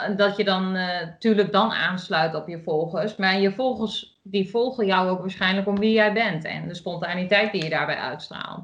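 Moderate pace with hardly any pauses, ordinary pitch variation and an Achterhoek accent. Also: woman, medium pitch for a woman. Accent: regional Achterhoek accent, remarked on. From Achterhoek, eastern Netherlands. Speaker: podcast co-host, sewing hobbyist. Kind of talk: casual chat.

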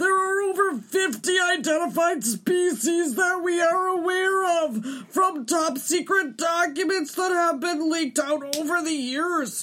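The voice is extremely high in pitch. It moves at a fairly slow pace. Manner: excited, earnest.

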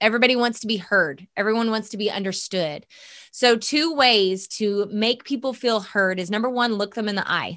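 The voice is loud and animated in tone. Its pace is moderate, with ordinary pitch variation. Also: woman, fairly high pitch for a woman. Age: 30s. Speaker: podcast host. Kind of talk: podcast monologue and interview. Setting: video call and studio. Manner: loud, animated.

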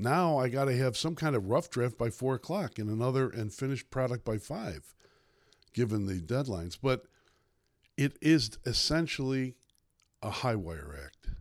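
With a Chicago accent, a man talks at a moderate pace, his medium pitch moving in lively intonation. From Chicago South Side. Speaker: newspaper columnist. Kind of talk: casual interview.

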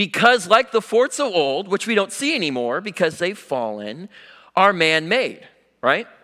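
In an American accent, a bright, sharp, raised and projected voice moves at a moderate pace with very wide pitch swings on a very clean recording with a silent background. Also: man, high pitch for a man. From US Pacific Northwest. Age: young. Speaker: young lay preacher. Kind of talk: sermon. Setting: church.

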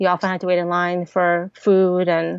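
A woman with an American accent speaks in a monotone, flat delivery at a fairly low pitch. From Ukraine (Odesa), then Kansas from age 10. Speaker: tech startup founder. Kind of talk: interview.

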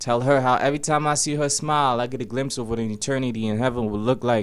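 Speaking at a fairly quick pace, a man has an unremarkable speaking voice with medium pitch and fairly even intonation. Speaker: spoken word poet. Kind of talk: spoken word poem, confessional love poem with rhymes. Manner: earnest, intimate, rhythmic delivery.

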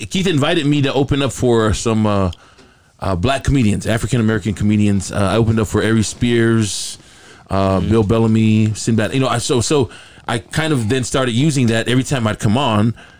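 A man with a normal speaking voice, medium pitch, ordinary pitch variation, a fairly quick pace and very even loudness. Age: 50s. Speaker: radio and TV host. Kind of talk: casual banter.

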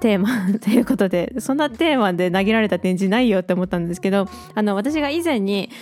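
A woman at a medium pitch talks fairly quickly with lively intonation. Noticeable background noise runs under her voice. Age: 20s. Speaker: illustrator and track maker, podcast host. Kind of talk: casual solo radio talk. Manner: casual, chatty.

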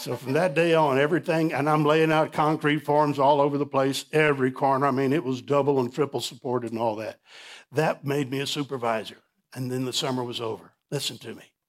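A man with an American accent has an unremarkable speaking voice and fairly high pitch. He talks at a fairly quick pace with fairly even intonation. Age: 60s. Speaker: pastor. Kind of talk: sermon. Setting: church.

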